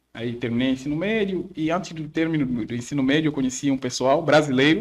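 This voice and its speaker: Very fast speech from a man, ordinary in pitch variation. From Mozambique. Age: 20s. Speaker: nursing and theology student. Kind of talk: podcast interview.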